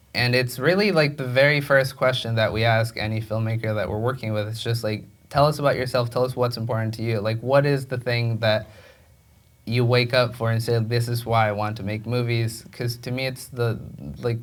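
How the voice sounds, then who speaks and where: Here a man talks at a fairly quick pace with a Spanish accent. His pitch is medium and his intonation fairly even. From Mexico. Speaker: film director. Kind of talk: onstage interview. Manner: halting, many repetitions and fillers.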